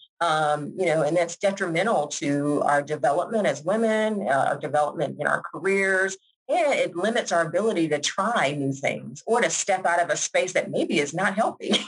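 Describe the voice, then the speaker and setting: At a moderate pace, a woman with an unremarkable speaking voice and a fairly low pitch uses lively intonation while her loudness stays very even. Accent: American. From Georgia, US South. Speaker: school principal. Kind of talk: podcast interview.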